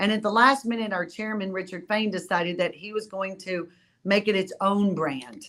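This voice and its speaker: A woman at medium pitch and a moderate pace. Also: ordinary pitch variation. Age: 60s. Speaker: cruise line executive. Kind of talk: interview. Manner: animated.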